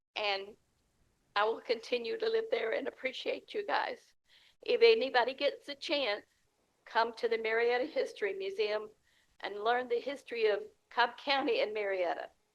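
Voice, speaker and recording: A woman with a Southern US accent speaks at a moderate pace, leaving long, frequent pauses. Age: 70s. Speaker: member giving a comment. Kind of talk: public comment.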